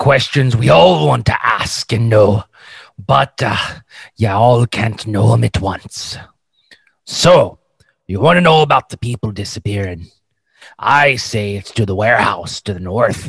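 Using a put-on character voice, a man speaks in a raspy, gruff tone at a medium pitch, going at a fairly slow pace with long, frequent pauses. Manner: boisterous, gruff.

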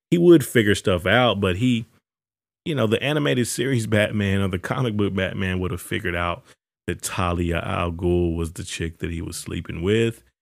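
A man with an unremarkable speaking voice and ordinary pitch variation talks at a moderate pace. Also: fairly low pitch for a man. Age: 20s. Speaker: podcast host. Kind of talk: casual monologue.

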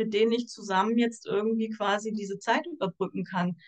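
At a moderate pace, a woman with a fairly high pitch speaks in a plain, everyday voice with fairly even intonation. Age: 40s. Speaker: social worker. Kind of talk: casual chat.

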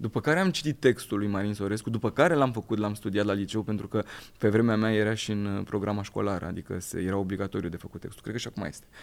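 A man with a fairly low pitch rattles along at a very fast pace with ordinary pitch variation. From southern Romania, Craiova. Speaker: actor. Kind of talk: casual chat.

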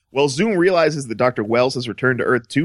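A man with an American accent talks at a very fast pace and a fairly high pitch, his intonation lively. The sound is dry and close with no echo, in a very clean recording with a silent background. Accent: light Southern US, suppressed. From US South. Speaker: podcast co-host. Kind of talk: casual chat. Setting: studio.

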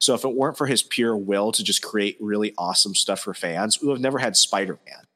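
This man's voice sits at a medium pitch with ordinary variation and a fairly quick pace. The sound is dry and close, with no echo. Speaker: podcast host. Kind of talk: casual chat. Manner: animated.

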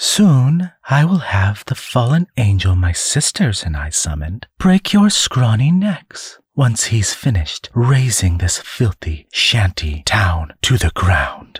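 Putting on a character voice, a man speaks slowly with a husky, rough edge, a fairly low pitch, big pitch swings and few pauses.

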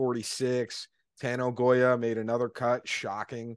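With an American accent and a plain, everyday voice, a man speaks at a moderate pace and medium pitch in a dry, close sound with no echo over a quiet background. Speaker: golf betting podcast host. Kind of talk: casual chat.

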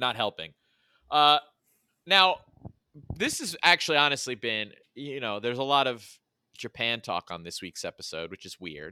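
Speaking at a medium pitch and a moderate pace, a man uses a bright, sharp tone with vocal fry, very wide pitch swings and big swings in loudness. He leaves long, frequent pauses, and the sound is dry and close with no echo on a very clean recording with a silent background. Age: 40s. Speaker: sports podcast co-host. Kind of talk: casual chat. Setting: studio.

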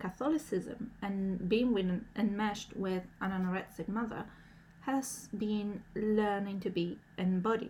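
A woman's medium-pitched voice, somewhat breathy and dark and mellow in tone, at a fairly slow pace with ordinary pitch variation. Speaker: podcast host. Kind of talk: solo podcast monologue.

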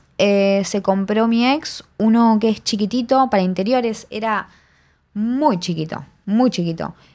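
This is a woman with a normal speaking voice at a medium pitch. She talks at a fairly slow pace with ordinary pitch variation. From Argentina, Buenos Aires. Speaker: sound recordist. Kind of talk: casual interview. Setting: remote recording at home mic.

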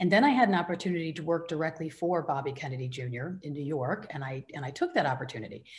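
With an American accent and hardly any pauses, a woman speaks very fast in a very deep, low pitch. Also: ordinary pitch variation, big swings in loudness. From US Midwest, Michigan. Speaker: rancher and author. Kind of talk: interview. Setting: radio show.

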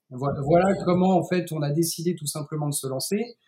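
A man's high-pitched, dark, mellow voice with ordinary pitch variation. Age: 30s. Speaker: CBD producer and entrepreneur. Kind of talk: interview.

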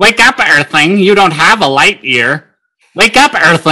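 A man puts on a character voice, speaking at a high pitch and a fairly slow pace. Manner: annoying, shouting, commanding.

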